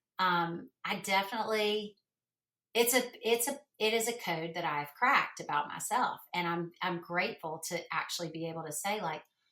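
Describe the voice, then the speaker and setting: With a Southern US accent, a woman speaks at a moderate pace and a medium pitch. Her tone is bright and sharp, with ordinary pitch variation. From US South. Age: 50s. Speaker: podcast guest. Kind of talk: casual chat.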